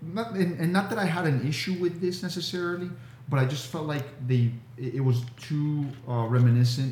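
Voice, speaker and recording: Somewhat breathy, a man speaks at a moderate pace with lively intonation. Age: 40s. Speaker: podcast co-host. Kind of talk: casual chat.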